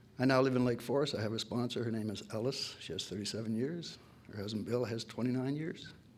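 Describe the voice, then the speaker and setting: Audible room echo surrounds a man's voice. He talks at a very fast pace with ordinary pitch variation. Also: medium pitch for a man. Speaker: AA speaker, recovering alcoholic. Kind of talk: testimony. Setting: AA meeting with audience.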